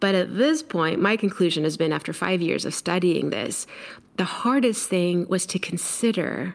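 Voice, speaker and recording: A woman with a normal speaking voice, fairly low pitch, and an American accent talks at a moderate pace. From Mexico, raised on US coasts. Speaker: leadership coach and speaker. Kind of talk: interview.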